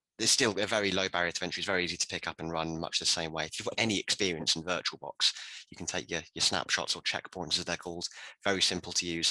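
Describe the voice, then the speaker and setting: A man with a British accent and a very deep, low pitch speaks at a very fast pace with fairly even intonation and a bright, sharp tone, in a dry, close sound with no echo. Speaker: IT professional. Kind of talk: round table discussion.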